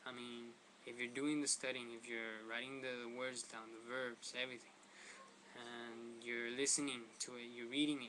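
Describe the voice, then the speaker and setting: Speaking in a Spanish accent, a man delivers a bright, sharp tone in a monotone, flat intonation amid audible room echo. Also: medium pitch for a man, moderate pace. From Mexican heritage. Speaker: language tutorial vlogger. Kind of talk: tutorial. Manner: casual, halting with fillers.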